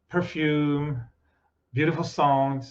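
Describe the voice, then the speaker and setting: Audible room echo surrounds the speaker. He is a man with fairly high pitch. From France. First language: French. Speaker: meditation teacher and journalist. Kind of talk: spiritual talk with consecutive interpretation. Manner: short phrases with pauses for interpreter.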